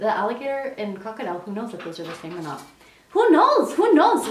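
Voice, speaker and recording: Over noticeable background noise and audible room echo, a woman talks with very wide pitch swings. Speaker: psychic medium, tarot tutorial. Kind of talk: tutorial. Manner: fast; casual, conversational.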